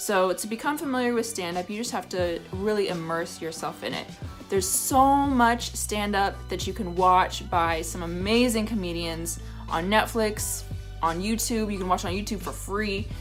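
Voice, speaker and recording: Music plays in the background. Over it, a woman talks at a moderate pace. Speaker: stand-up comedian and vlogger. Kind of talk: casual talk to camera, advice vlog. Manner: conversational, friendly.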